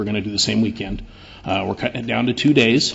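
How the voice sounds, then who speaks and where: Vocal fry runs through a man's medium-pitched voice, which has ordinary pitch variation. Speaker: event organizer. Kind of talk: public comment. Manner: loud.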